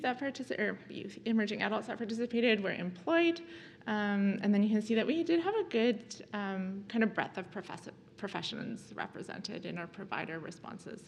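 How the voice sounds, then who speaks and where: A somewhat breathy voice with ordinary pitch variation carries audible room echo. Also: woman, fairly high pitch for a woman, moderate pace. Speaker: nursing professor. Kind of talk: conference presentation. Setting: conference talk. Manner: hesitant, many fillers.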